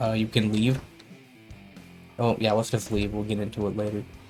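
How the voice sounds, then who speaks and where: A man speaks at a medium pitch in a relaxed tone. Music plays behind him. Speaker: gamer. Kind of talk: let's play commentary. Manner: casual, relaxed.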